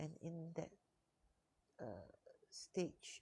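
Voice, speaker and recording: Soft-spoken and very slow, a woman talks with a Malaysian accent. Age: 60s. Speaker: life coach. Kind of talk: live stream talk. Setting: co-working space.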